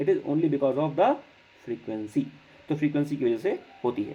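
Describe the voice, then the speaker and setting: His voice has a dark, mellow tone. The intonation rises and falls in a lively way. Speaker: physics teacher. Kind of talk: lecture.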